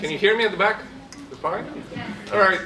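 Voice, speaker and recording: A man talks in a space with audible room echo while noticeable background noise carries on. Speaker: political science professor. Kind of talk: panel presentation. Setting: stage with audience. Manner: loud; hesitant with many fillers.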